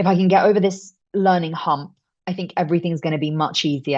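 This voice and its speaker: A woman with a British accent talks at a fairly quick pace with fairly even intonation. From UK. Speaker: voice actor. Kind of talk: interview answer. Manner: casual, chatty.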